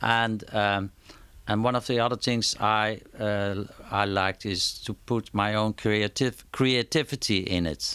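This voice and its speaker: A man with a Dutch accent, fairly low-pitched and fairly slow, with fairly even intonation, on a very clean recording with a silent background. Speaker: concert promoter. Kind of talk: interview. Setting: at his home. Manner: halting, many repetitions and fillers.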